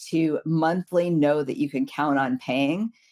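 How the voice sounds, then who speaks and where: A woman speaks at a very slow pace with a very deep, low pitch. The sound is dry and close with no echo. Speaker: recruiting agency founder. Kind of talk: live Q&A webinar. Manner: hesitant, many fillers.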